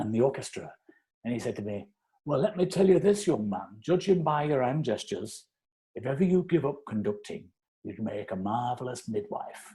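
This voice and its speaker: A man's dark, mellow, somewhat breathy voice at medium pitch, with very wide pitch swings and a moderate pace. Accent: British. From England. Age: 60s. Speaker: conductor. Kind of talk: interview, casual chat.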